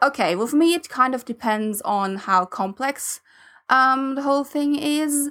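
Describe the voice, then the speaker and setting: In a non-native accent, a woman projects a raised, high-pitched voice with a bright, sharp tone and lively intonation at a fairly slow pace, on a very clean recording with a silent background. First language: not English. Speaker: podcast co-host. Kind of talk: casual chat. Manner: halting, many fillers.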